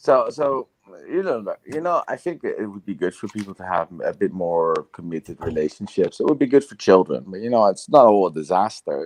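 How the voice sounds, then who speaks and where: With a Dutch accent, a man speaks at a fairly quick pace, his loudness swinging widely in a dry, close sound with no echo. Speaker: video podcast host. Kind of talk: casual debate. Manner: halting.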